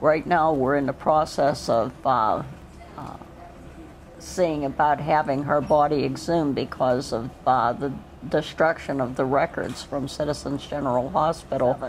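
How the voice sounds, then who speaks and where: Someone speaks with an American accent at a fairly slow pace. Noticeable background noise runs behind the voice. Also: woman. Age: 60s. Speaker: cancer patient. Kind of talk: documentary interview. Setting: cancer treatment center. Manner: halting.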